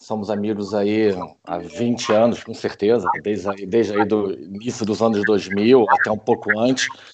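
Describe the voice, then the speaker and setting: A man talks with an unremarkable speaking voice, his pitch fairly low and his intonation fairly even, moving at a moderate pace. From Rio de Janeiro, Brazil. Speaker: film crew professional. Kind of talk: casual chat.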